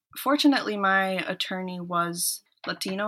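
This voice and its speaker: In an Upper Midwest accent, a woman talks at a moderate pace and medium pitch. Her tone is bright and sharp, with ordinary pitch variation. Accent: Upper Midwest American English. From US Midwest, Minnesota (born in El Salvador). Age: 20s. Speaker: law student. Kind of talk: interview. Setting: remote call.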